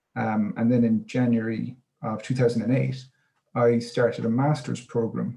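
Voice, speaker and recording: Speaking in an Irish accent, a man with a medium-pitched, dark, mellow, somewhat breathy voice keeps a moderate pace and fairly even intonation. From Ireland, Cork. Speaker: coastal resilience coordinator. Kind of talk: webinar talk.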